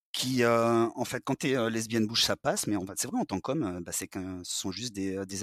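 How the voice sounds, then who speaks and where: A man at a moderate pace with ordinary pitch variation, on a very clean recording with a silent background and a dry, close sound with no echo. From southern France. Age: 40s. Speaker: interviewee sharing personal testimony. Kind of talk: personal testimony interview. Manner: hesitant, many fillers.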